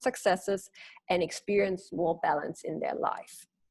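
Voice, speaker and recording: Here a woman speaks with a German accent. Her pace is moderate. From Germany. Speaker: leadership coach. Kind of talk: webinar presentation. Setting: webinar.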